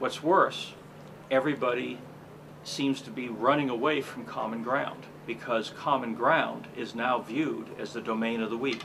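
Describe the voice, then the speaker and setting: A man talks with an American accent at a moderate pace. His intonation is fairly even, and background noise is noticeable. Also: medium pitch for a man. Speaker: public speaker and political commentator. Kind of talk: political commentary.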